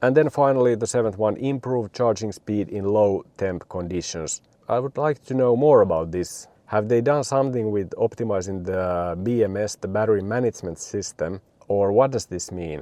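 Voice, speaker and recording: Delivered at a moderate pace with hardly any pauses, the dark, mellow voice has a Finnish accent and ordinary pitch variation, in a dry, close sound with no echo and a quiet background. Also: man, fairly low pitch for a man. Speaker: car video reviewer. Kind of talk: product review. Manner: casual with frequent fillers.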